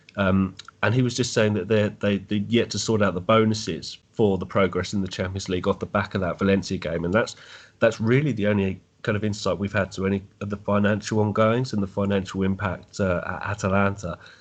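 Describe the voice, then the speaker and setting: Speaking with an English accent, a man with a fairly low pitch talks at a fairly quick pace in a monotone, flat intonation. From England. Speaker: football fan. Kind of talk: podcast interview.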